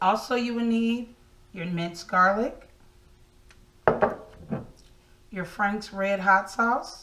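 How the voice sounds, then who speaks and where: A woman speaks at a very slow pace. Her pitch varies in an ordinary way over light background noise. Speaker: home cook host. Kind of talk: tutorial. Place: kitchen.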